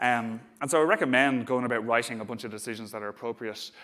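Speaking very fast with an Irish accent, a man at medium pitch uses a monotone, flat intonation and a bright, sharp tone. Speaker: software engineer, conference speaker. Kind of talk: conference talk. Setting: stage with audience. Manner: hesitant, many fillers.

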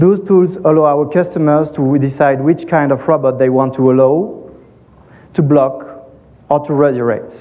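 With a French accent, a man speaks at a fairly high pitch with ordinary pitch variation. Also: moderate pace. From France. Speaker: tech company co-founder and CTO. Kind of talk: conference talk.

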